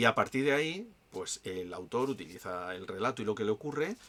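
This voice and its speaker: Ordinary pitch variation from a male speaker, with noticeable background noise behind. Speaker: YouTube culture critic. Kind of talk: casual monologue review. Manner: fast.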